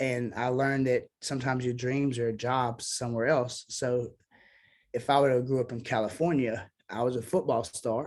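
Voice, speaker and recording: At a moderate pace, a man talks in a Southern US accent with fairly even intonation. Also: medium pitch for a man. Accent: Southern twang. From US South (Memphis, Tennessee and Mississippi). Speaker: singer-songwriter. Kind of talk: casual interview chat.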